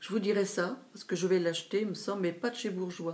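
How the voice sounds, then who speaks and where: Her delivery races along at a very fast pace. This woman's pitch is medium. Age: 60s. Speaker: beauty vlogger. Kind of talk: product haul review. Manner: hesitant with fillers.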